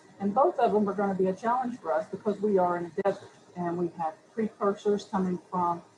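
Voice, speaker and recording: Amid noticeable background noise, a woman with an American accent talks at a fairly quick pace, her medium-pitched voice keeping a fairly even intonation. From US Southeast (Chattanooga, Tennessee). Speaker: city environmental official, panelist. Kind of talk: panel discussion. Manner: hesitant, repeats words.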